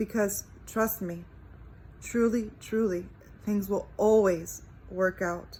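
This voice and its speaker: Very slowly, a woman speaks in a somewhat breathy voice at medium pitch. Her intonation stays fairly even. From Cuba. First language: Spanish. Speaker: faith vlogger. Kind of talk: testimony.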